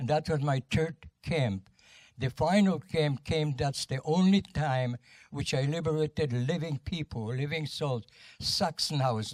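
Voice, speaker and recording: Somewhat breathy, fairly slow speech with ordinary pitch variation in a dry, close sound with no echo. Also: man. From Poland. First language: Polish. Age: 90s. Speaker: war veteran. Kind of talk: testimony. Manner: halting.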